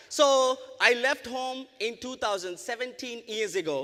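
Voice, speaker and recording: A man with an Indian accent speaks in a raised, projected voice. His tone is bright, sharp and animated. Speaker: network marketing business owner and speaker. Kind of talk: motivational presentation. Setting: convention stage with audience.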